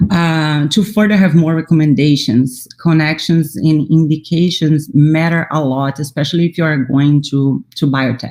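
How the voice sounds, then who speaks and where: At a fairly slow pace, the speaker talks with a Portuguese accent. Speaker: immunology scientist. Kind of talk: panel talk. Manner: halting.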